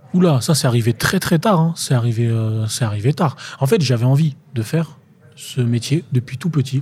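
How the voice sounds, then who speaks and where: Here a man with an ordinary speaking voice speaks at a medium pitch and a moderate pace. His intonation is lively, and his loudness stays very even. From France, Tours. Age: 20s. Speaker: actor. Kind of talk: casual interview chat.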